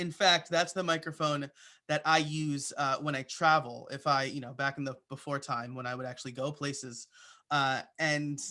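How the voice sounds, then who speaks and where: At a moderate pace, a man with a slight New York accent speaks in a bright, sharp tone at a fairly high pitch, his intonation fairly even, in a very clean recording with a silent background. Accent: slight New York accent on certain words. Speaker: podcaster and web development teacher. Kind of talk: presentation. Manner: hesitant, many fillers.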